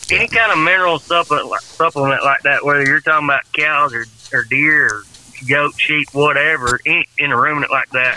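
Over noticeable background noise, a man mumbles in a Southern accent at a moderate pace. His fairly high voice holds a very even loudness with ordinary pitch variation.

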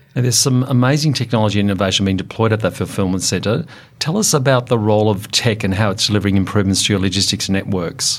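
Talking at a very fast pace, a man with an Australian accent keeps a very even loudness at a fairly low pitch. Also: ordinary pitch variation. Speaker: podcast host, industry association head. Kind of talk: interview.

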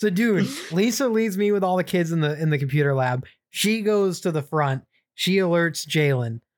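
A man's high-pitched voice at a moderate pace, lively in intonation, in a very clean recording with a silent background. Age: 20s. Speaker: podcast co-host. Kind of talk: casual chat. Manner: animated.

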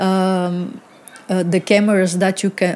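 A woman's medium-pitched voice with a Bulgarian accent at a very slow pace. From Bulgaria (Varna). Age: 40s. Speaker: photographer. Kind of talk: interview. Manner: halting, many fillers.

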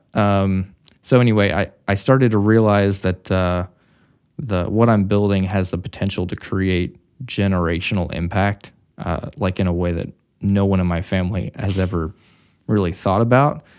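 A man with an American accent talks in an ordinary speaking voice, fairly low in pitch with fairly even intonation. His pace is moderate, and the recording is very clean with a silent background. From Missouri. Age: 30s. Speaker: entrepreneur. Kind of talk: casual interview.

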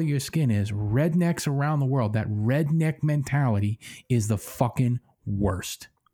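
A man with an American accent at a fairly slow pace, somewhat breathy, dark and mellow in tone, with lively intonation and a very clean recording with a silent background. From Pennsylvania. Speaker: podcast co-host. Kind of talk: casual chat.

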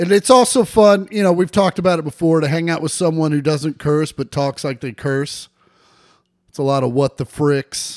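A fairly high-pitched man talks at moderate pace, his loudness swinging widely. The recording is very clean and dry, with a close sound, no echo and a silent background. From Kansas City area, US Midwest. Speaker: podcast co-host. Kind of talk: casual chat, comedic banter. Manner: profane, jokey.

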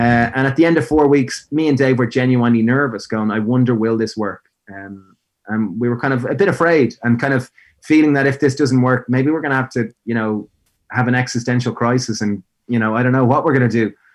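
A man speaks with an Irish accent at a medium pitch and a fairly quick pace. His pitch varies in an ordinary way against a quiet background. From Ireland, Greystones (Co. Wicklow). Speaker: food business founder. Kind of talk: interview.

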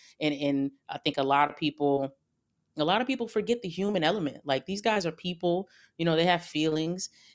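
On a very clean recording with a silent background, a woman with an ordinary speaking voice and fairly low pitch talks at a fairly quick pace with lively intonation. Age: 30s. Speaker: basketball analyst and podcast host. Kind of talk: casual chat.

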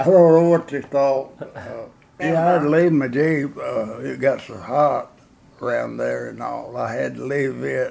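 With a Tennessee accent, a man talks at a fairly slow pace, his loudness swinging widely over noticeable background noise. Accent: US Southern (Tennessee). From Gordonsville, Tennessee. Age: 90s. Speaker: war veteran. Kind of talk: oral history interview. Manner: halting.

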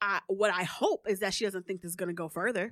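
The speaker talks at a very fast pace in an animated tone. The sound is dry and close with no echo. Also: woman. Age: 30s. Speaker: podcast host. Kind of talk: casual chat. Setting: studio.

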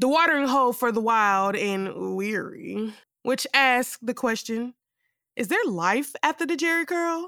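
A woman's high-pitched, bright and sharp voice, animated and dramatic, with lively intonation at a fairly slow pace, on a very clean recording with a silent background and a dry, close sound with no echo. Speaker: performer reading a monologue. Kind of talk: theatrical monologue performed in character. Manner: campy, sassy, flamboyant, animated; dramatic, theatrical, with snaps and laughs.

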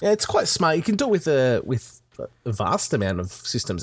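The recording is very clean, with a silent background. A man speaks with an Australian accent. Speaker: podcaster. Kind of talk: casual chat.

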